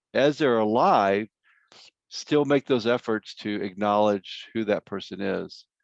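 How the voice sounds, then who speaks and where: A man with an American accent talks at a moderate pace and medium pitch, with ordinary pitch variation, in an unremarkable speaking voice. The sound is dry and close with no echo, and the background is quiet. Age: 60s. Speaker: grief counselor, workshop speaker. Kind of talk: workshop Q&A answers. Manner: conversational.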